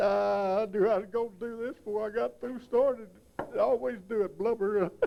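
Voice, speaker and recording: A man's high pitch with ordinary pitch variation. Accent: West Texas. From West Texas, Lamesa. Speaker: country singer and yodeler. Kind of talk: documentary interview.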